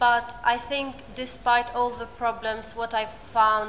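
Against noticeable background noise, a woman speaks with an Albanian accent. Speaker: asylum seeker and volunteer speaker. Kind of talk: personal testimony on panel.

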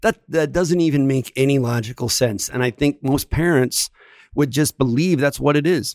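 A man with an American accent speaks at a moderate pace with ordinary pitch variation, in a very clean, dry, close recording with no echo and a silent background. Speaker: podcast host, teacher. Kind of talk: casual conversational podcast. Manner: animated, back-and-forth with agreeing interjections.

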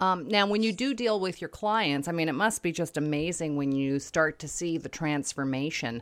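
A woman speaks at a moderate pace in a normal speaking voice, fairly low-pitched with lively intonation and hardly any pauses, on a very clean recording with a silent background. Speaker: interviewer host. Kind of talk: casual interview chat.

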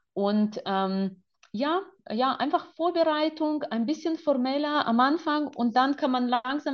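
Her pitch swinging very widely, a woman speaks fairly slowly. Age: 40s. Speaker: photographer. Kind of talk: interview.

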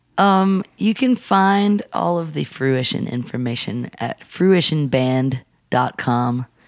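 In an American accent, the speaker barely pauses while the pitch swings very widely. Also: woman, very deep, low pitch for a woman. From US South, Atlanta suburbs. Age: 30s. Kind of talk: casual interview chat.

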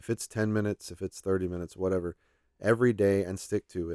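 In a very clean recording with a silent background, a man with an American accent and an unremarkable speaking voice talks at a fairly quick pace, fairly low in pitch with fairly even intonation. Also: dry, close sound with no echo. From Oklahoma and Texas, US. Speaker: church Bible teacher. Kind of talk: casual interview conversation. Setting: studio.

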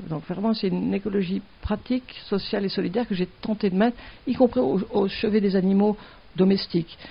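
A somewhat breathy woman's voice, medium in pitch, with ordinary pitch variation. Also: fairly quick pace. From southern France (Mediterranean). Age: 60s. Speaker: veterinarian, wildlife centre founder. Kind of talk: interview.

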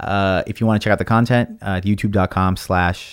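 A man with a fairly low pitch, fairly even intonation and a Californian accent, on a very clean recording with a silent background. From Los Angeles (Watts). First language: Spanish. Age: 30s. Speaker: content creator. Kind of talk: casual chat. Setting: studio.

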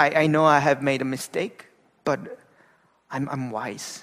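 With a Korean accent, a man speaks fairly slowly at a fairly high pitch, his intonation fairly even. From South Korea, Gangwon-do. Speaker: pastor. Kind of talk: sermon. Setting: church.

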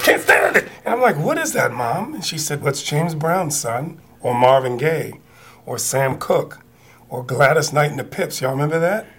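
A man with a fairly high voice talks at a moderate speed, his pitch varying in an ordinary way. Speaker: musician. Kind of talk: interview storytelling. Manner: energetic.

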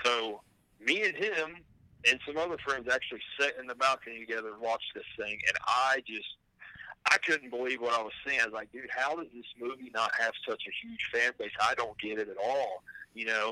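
A bright, sharp male voice at medium pitch and a moderate pace, with ordinary pitch variation and big swings in loudness. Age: 40s. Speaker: musician who made the show's theme song. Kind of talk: casual chat.

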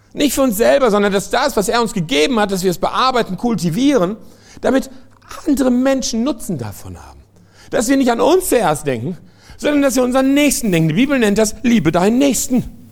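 Extremely high in pitch, a man talks at a fairly quick pace with lively intonation. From France. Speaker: pastor and missionary. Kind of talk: sermon. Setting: church service with congregation.

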